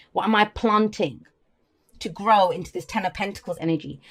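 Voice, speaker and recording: The recording is very clean, with a silent background. A woman talks at a fairly quick pace and a medium pitch. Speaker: tarot reader. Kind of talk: tarot reading. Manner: fast; faster than usual.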